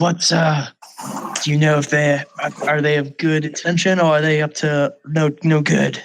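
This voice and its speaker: A put-on character voice from a man, fairly high in pitch, at a moderate pace with long, frequent pauses. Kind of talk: put-on dark vigilante growl. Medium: actual play. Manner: terse, brooding.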